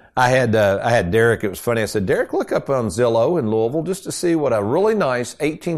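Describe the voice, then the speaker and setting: Against a quiet background, a man with an unremarkable speaking voice talks at a fairly quick pace and medium pitch with lively intonation. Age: 60s. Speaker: radio host and retirement planner. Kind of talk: radio talk show.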